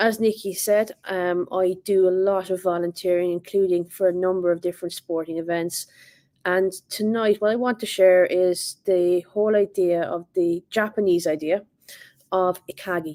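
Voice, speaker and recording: A woman in an Irish accent, dark and mellow in tone, with monotone, flat intonation and a dry, close sound with no echo. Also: medium pitch for a woman, moderate pace. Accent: Irish, noticeable. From Ireland. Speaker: assistant principal, speaker. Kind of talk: leadership talk. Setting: online virtual event.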